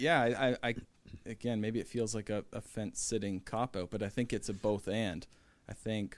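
An unremarkable speaking voice holds a moderate pace and fairly even intonation. The recording is very clean, the background silent. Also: man. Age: 30s. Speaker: pastor. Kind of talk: casual chat.

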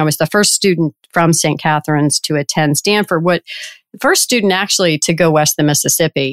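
A woman with an ordinary speaking voice, fairly low in pitch, speaks with fairly even intonation and an American accent, in a dry, close sound with no echo on a very clean recording with a silent background. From US South, Richmond, Virginia. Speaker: payments company chief executive. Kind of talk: interview.

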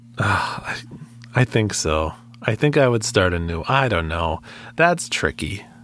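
A man's voice with very wide pitch swings, a fairly slow pace, and long, frequent pauses, against noticeable background noise. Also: fairly low pitch for a man. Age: 30s. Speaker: video game podcast co-host. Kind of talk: casual chat.

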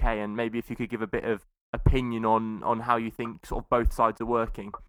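Talking at a fairly quick pace, a man is heard on a very clean recording with a silent background. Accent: British. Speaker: podcast host. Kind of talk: casual chat.

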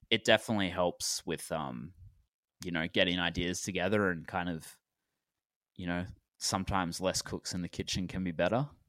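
A man's low-pitched voice with a fairly bright tone, ordinary pitch variation, a moderate pace, and long, frequent pauses.

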